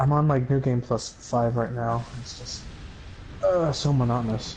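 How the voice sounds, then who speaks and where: With noticeable background noise behind him, a man talks at a moderate pace, medium in pitch, with fairly even intonation. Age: 20s. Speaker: gamer streamer. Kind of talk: casual chat.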